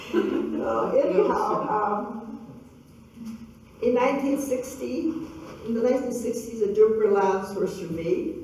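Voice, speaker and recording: At a fairly slow pace, a woman speaks in a fairly high pitch with lively intonation and long, frequent pauses, amid audible room echo and noticeable background noise. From western Canada, Grand Forks BC. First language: Russian. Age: 70s. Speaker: local elder and community speaker. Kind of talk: public talk with Q&A. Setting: gallery event with audience. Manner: halting.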